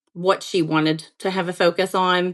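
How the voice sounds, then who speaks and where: Someone speaks in a southern Appalachian accent against a quiet background. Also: woman. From eastern Kentucky, Appalachia (Greenup County). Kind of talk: podcast interview.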